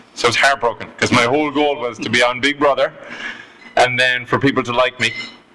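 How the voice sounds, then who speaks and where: Speaking at a very fast pace, a man with a medium pitch holds a monotone, flat intonation amid noticeable background noise. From Ireland, Galway (west coast). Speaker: guest telling life story. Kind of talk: casual interview storytelling.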